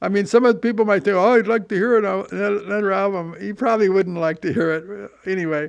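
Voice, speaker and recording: In a quiet background, a man speaks at a very fast pace with hardly any pauses, his high pitch showing ordinary variation. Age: 70s. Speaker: podcast host and veteran rock musician. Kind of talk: casual chat. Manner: casual, halting with repetitions.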